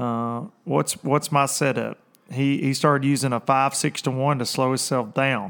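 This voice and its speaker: In a very clean recording with a silent background, a man with a plain, everyday voice speaks at a medium pitch and moderate pace, his intonation fairly even. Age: 30s. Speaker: professional bass fishing angler and livestream host. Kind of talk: casual livestream chat. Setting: livestream on video and social media.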